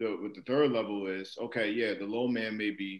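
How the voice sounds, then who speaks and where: A man with a fairly low pitch talks at a moderate pace, his intonation fairly even. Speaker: podcast co-host, basketball coach. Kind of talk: podcast discussion. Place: home room. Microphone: video call.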